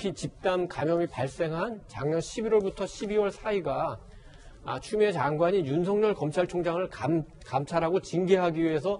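The man speaks with a high pitch. His intonation is lively. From South Korea. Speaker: newspaper editorial writer. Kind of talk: news panel discussion. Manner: halting. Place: studio. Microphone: lapel.

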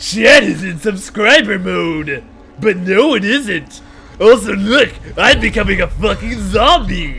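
A man's put-on character voice, high-pitched and fairly slow, over clear background noise. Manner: loud, exclaiming.

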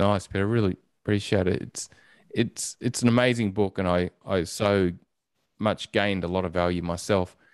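With an Australian accent and fairly even intonation, a man speaks at a moderate pace in a fairly low voice, the sound dry with no echo and the background quiet. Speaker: podcast host. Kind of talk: interview. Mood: warm, appreciative. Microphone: studio mic.

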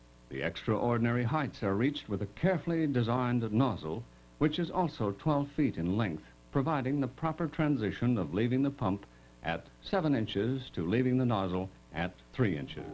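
The voice has very wide pitch swings at a moderate pace. Music plays in the background. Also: man. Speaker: documentary narrator. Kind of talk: documentary narration. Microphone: old recording.

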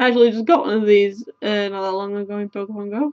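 Against a quiet background, the speaker has a British accent, a fairly quick pace and fairly even intonation. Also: woman, dry sound with no echo. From UK. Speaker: YouTuber. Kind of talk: casual chat, card opening. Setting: webcam at home. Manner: rambling, casual. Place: home room.

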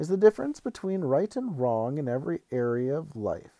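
A resonant, put-on character voice with very wide pitch swings moves at a fairly quick pace. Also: man, fairly high pitch for a man. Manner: precise, didactic, authoritative.

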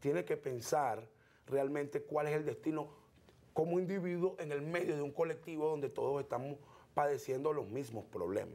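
Fairly quick and fairly high in pitch, this man speaks with a dark, mellow tone. His pitch varies in an ordinary way. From eastern Venezuela (El Tigre, Anzoátegui); Anzoátegui, Venezuela. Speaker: political activist; guest. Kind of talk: interview. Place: studio. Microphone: lapel.

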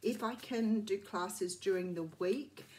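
A somewhat breathy woman speaks with ordinary pitch variation. Light background noise can be heard. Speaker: tarot reader. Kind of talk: casual vlog chat. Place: home room. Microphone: phone near.

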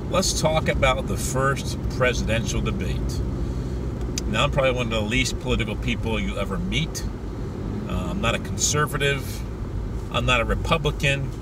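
Someone talks at a moderate pace with long, frequent pauses, in a dry sound with no echo over loud background noise. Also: man. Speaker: street preacher, evangelist. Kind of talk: religious commentary to camera. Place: car. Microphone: phone near.

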